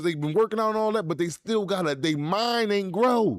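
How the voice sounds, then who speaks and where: Fairly quick pace and ordinary pitch variation on a very clean recording with a silent background. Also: man. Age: 40s. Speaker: podcast host, formerly incarcerated. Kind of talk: casual live-stream talk. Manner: repetitive, stammering; fast.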